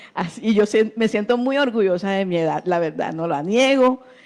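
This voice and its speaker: Against a quiet background, a woman with a plain, everyday voice and medium pitch speaks at a moderate pace. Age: 60s. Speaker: churchgoer giving testimony. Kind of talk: testimony.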